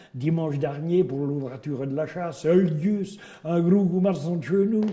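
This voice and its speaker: With a Berry accent, a man speaks using lively intonation. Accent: Berrichon. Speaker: storyteller. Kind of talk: folk tale told in regional dialect.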